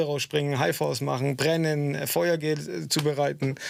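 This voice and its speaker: The speaker is a man. His pitch sits fairly high. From southwest Germany (Stuttgart area). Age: 40s. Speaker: stuntman. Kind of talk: radio interview. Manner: hesitant, many filler sounds.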